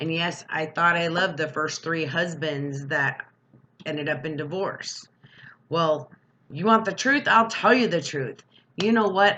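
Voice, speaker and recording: The voice is bright and sharp with an animated tone, moving at a fairly slow pace. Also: woman, fairly low pitch for a woman, ordinary pitch variation. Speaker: vlogger. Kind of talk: rant.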